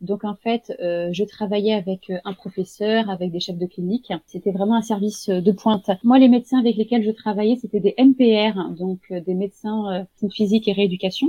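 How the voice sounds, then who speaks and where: Somewhat breathy, a woman at medium pitch speaks at a moderate pace with fairly even intonation. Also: hardly any pauses. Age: 30s. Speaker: home-care nurse. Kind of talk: interview. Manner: hesitant, many fillers.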